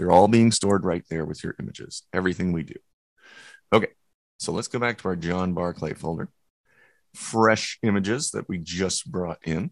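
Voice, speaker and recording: A man with a very deep, low pitch speaks at a moderate pace with ordinary pitch variation and long, frequent pauses, in a dry, close sound with no echo. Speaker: photo editing instructor. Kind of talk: webinar software tutorial. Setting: online webinar with chat.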